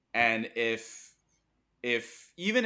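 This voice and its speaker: Recorded very clean against a silent background, a man with a Mandarin accent speaks in a bright, sharp tone. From Hong Kong. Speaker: business school student and part-time comedian. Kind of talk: casual chat.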